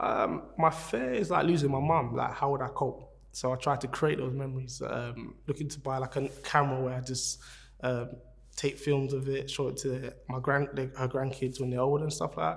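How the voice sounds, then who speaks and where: With a South London accent, a man speaks somewhat breathily at a medium pitch and moderate pace, his pitch varying in an ordinary way. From London (Peckham, South London). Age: 30s. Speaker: venue manager and family key worker. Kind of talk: interview answers. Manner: halting.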